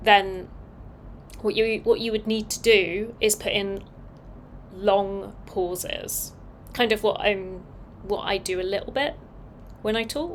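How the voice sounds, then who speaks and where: Speaking at a very slow pace with long, frequent pauses, a woman keeps a medium pitch and fairly even intonation. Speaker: designer live-streaming open source work. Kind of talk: casual live-stream talk. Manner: long pauses at ends of sentences; clear pronunciation.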